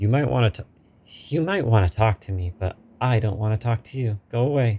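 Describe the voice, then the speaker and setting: A man speaks at a fairly quick pace in a put-on character voice with a hissing sound. His pitch sits at a medium level. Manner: hissing, hostile.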